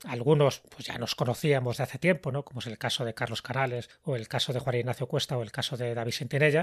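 A man talks at a very fast pace with ordinary pitch variation and a somewhat breathy voice. The recording is very clean, dry and close, with no echo and a silent background. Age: 60s. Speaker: writer and podcast host. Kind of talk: interview.

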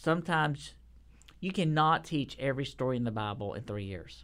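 A man with a Texan accent, fairly high in pitch, with lively intonation, on a very clean recording against a silent background. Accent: Texan Southern US. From Texas. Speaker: children's curriculum publishing manager. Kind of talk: casual interview.

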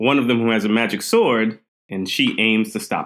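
An unremarkable speaking voice from a man with an American accent, at medium pitch and a moderate pace. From Queens, New York and Trinidad and Tobago. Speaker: speculative fiction writer. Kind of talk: casual interview.

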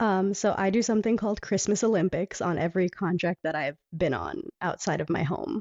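An ordinary speaking voice from a woman with an American accent, medium in pitch with ordinary variation, fairly quick and with hardly any pauses. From Panama City, Florida, with five childhood years in England. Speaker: stage performer and singer. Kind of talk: casual interview. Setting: home bedroom, remote call.

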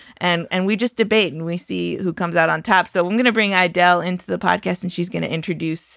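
Speaking very fast with hardly any pauses, a woman uses a fairly low pitch with vocal fry and ordinary pitch variation on a very clean recording with a silent background. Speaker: podcast host. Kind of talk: casual interview.

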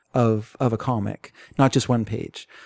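A man with a Canadian accent has a dark, mellow tone. The sound is dry and close, with no echo. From Canada. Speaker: podcast co-host. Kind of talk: casual chat.

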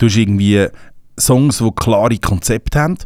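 A man talks at a moderate pace in a normal speaking voice, with ordinary pitch variation. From Switzerland. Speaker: rapper. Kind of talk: casual chat. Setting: studio.

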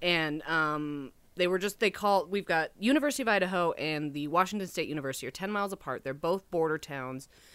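A woman's unremarkable speaking voice, fairly low in pitch, fairly quick with hardly any pauses and lively intonation, on a very clean recording with a silent background. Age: 30s. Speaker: film extra and costume designer. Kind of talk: casual chat.

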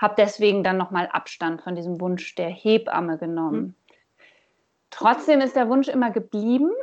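A woman has an unremarkable speaking voice. She talks at a moderate pace with lively intonation. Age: 30s. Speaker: trainee postpartum carer. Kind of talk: interview.

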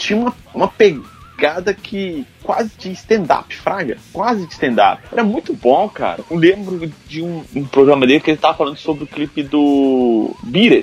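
Music plays in the background as a man talks at a fairly slow pace, his pitch swinging very widely. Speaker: podcast host. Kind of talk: casual chat.

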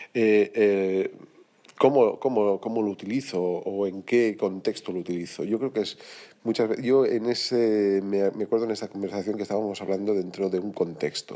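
Dark and mellow in tone, a man's voice sits at a fairly low pitch. He keeps a moderate pace and fairly even intonation. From Spain, Valencia (Sedaví). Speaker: jazz trumpeter. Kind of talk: recorded voice message. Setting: self-recorded audio message.

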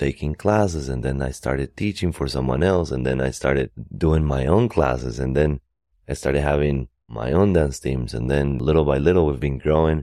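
A man speaks with a Spanish accent. His pitch is very deep and low. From Costa Rica. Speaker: dance company director. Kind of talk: interview.

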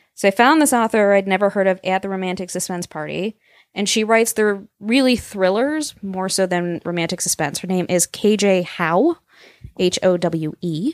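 In an unremarkable speaking voice, a woman talks at a moderate pace with medium pitch and ordinary pitch variation, the sound dry and close with no echo. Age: young. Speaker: romance blogger. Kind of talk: casual chat.

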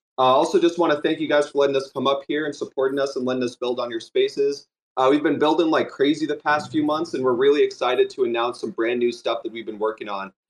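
Pitched fairly high, a man with an ordinary speaking voice keeps his intonation fairly even. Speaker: project founder. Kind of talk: project pitch.

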